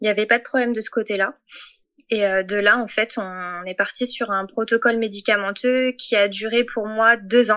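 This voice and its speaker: Moving at a moderate pace, a woman speaks in a fairly high pitch with monotone, flat intonation. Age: 30s. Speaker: patient sharing fertility story. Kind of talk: testimony. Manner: halting, many hesitations.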